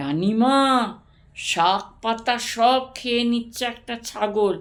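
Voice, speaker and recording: A woman's put-on character voice, fairly high in pitch and very slow. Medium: read story.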